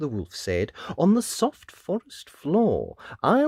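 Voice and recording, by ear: Text read out loud in a natural voice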